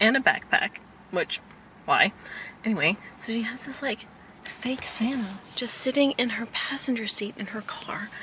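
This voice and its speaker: A woman's mumbling at a fairly high pitch, with ordinary pitch variation, big swings in loudness, long, frequent pauses and noticeable background noise. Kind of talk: casual talk to camera. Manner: rambling.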